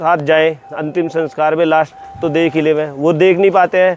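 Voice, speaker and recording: Noticeable background noise sits behind speech whose intonation remains fairly even. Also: man. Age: young. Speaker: villager. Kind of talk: interview testimony.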